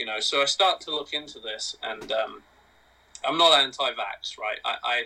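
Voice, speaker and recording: At a moderate pace, a man speaks with an English accent. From England. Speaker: podcast guest. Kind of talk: casual chat.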